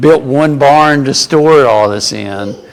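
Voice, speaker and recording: A man with an American accent speaks at a very slow pace, his fairly high pitch showing ordinary variation. Audible room echo and noticeable background noise fill the recording. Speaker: Bible class teacher. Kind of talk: Bible class lecture. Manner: conversational with many fillers.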